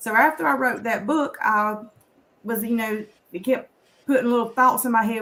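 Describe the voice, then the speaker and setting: In a Southern US accent, a woman talks with a fairly high pitch. Her pitch varies in an ordinary way. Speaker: author and conference speaker. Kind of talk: personal story on a talk show. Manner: casual, conversational.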